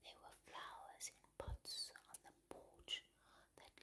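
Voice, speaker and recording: A woman speaks. She is whispering. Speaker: ASMR creator. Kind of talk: read story. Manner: soft-spoken. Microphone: studio mic.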